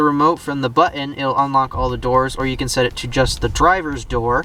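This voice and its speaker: There is noticeable background noise behind the speaker. A man talks with ordinary pitch variation. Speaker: car reviewer YouTuber. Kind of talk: car review walkthrough. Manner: fast; casual, with fillers.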